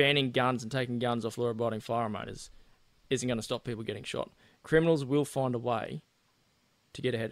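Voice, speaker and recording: Long, frequent pauses break up a man's very fast speech. His pitch is medium and his intonation fairly even. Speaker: political candidate. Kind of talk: casual interview.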